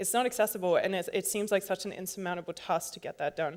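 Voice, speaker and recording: A woman speaks at a medium pitch. She has an American accent. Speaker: conference speaker, software developer. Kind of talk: conference talk. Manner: casual, many fillers.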